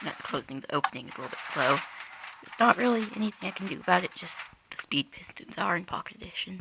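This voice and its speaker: Very fast speech over noticeable background noise. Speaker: Minecraft redstone builder. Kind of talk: game tutorial narration. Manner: hesitant, casual.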